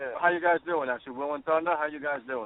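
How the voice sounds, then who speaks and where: This man speaks with a New York accent. His pitch is fairly high. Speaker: rock band drummer. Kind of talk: radio interview. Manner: halting.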